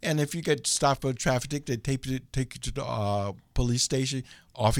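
A man with an American accent talks at a fairly quick pace in an ordinary speaking voice with ordinary pitch variation, in a very clean recording with a silent background. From US Midwest, Chicago. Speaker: author. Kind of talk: interview.

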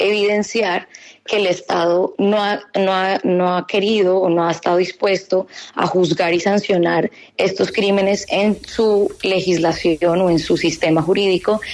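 At a fairly slow pace, a woman speaks in a monotone at medium pitch, with flat intonation and very even loudness. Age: 30s. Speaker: law graduate student. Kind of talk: radio interview. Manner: hesitant, with fillers.

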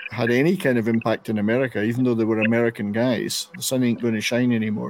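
A man with a Scottish accent speaks at a medium pitch in an animated tone. Noticeable background noise runs behind him. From Scotland. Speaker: radio show host. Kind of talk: casual panel chat. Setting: online video and radio show. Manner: animated, jokey.

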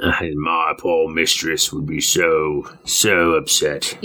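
Very slowly paced delivery in a put-on character voice. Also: man, very deep, low pitch for a man. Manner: mean, grumbling servile.

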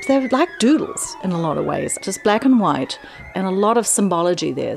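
A woman speaks with an American accent at a moderate pace. Noticeable background noise is present. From New Zealand. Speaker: flutist. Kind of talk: interview monologue about her music.

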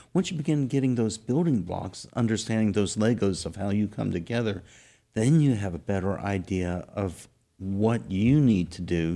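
A man with a Texan accent has a dark, mellow tone. The recording is very clean, with a silent background. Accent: Texan American. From South Texas. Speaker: host's husband. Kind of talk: casual chat.

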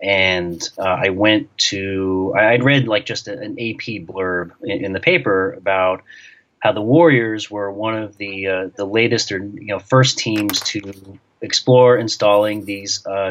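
At a fairly slow pace, a man with a fairly low pitch and ordinary pitch variation talks in an ordinary speaking voice. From New York. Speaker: sports journalist and author. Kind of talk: interview.

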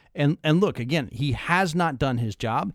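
The recording is very clean, with a silent background. A man talks. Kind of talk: heated political banter. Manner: rapid-fire, sarcastic, interrupting.

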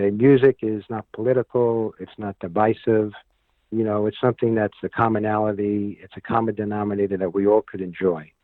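Fairly quick male speech with a New York accent, fairly even intonation and big swings in loudness. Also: fairly low pitch for a man. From New York City (Manhattan, Bronx). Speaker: entertainment producer and show host. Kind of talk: casual interview. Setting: radio interview.

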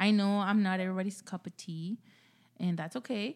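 A woman speaks with a Mexican accent in a somewhat breathy voice. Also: very clean recording, silent background. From Mexico. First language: Spanish. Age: 20s. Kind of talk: casual chat. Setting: studio.

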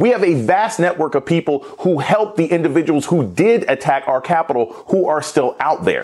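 Over noticeable background noise, a man talks in a high-pitched, animated voice with lively intonation. He keeps a moderate pace, very even loudness and hardly any pauses. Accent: American. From United States. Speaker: politics professor. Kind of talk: news panel commentary.

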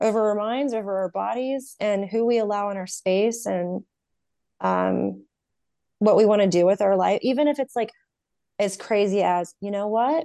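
With an American accent, a woman speaks at medium pitch and a moderate pace, with ordinary pitch variation and a dark, mellow tone. The background is quiet. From US South, North Carolina. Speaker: podcast host and therapy student. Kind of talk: interview.

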